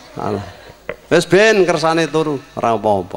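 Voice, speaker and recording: A man speaks at a moderate pace in a fairly high pitch. His voice swings very widely in pitch. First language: Javanese (speaking Indonesian). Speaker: Islamic preacher. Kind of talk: sermon. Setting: circumcision celebration gathering with audience. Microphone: handheld.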